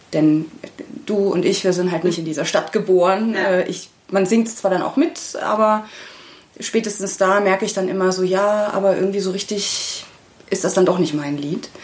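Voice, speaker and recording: A woman's medium-pitched voice with a slight Bavarian accent, fairly even intonation and a moderate pace, over noticeable background noise. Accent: slight Bavarian, barely audible. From Bavaria, small town. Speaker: singer-songwriter. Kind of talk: casual interview.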